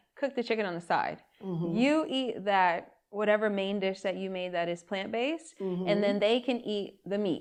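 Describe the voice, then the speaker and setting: At a moderate pace, a plain, everyday voice with lively intonation comes through over a quiet background. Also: woman. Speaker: podcast host. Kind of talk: podcast interview, casual conversation.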